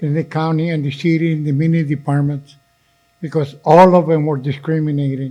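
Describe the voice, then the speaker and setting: At a moderate pace, a man speaks in a fairly high voice with monotone, flat intonation. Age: 80s+. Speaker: community organization leader. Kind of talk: meeting speech.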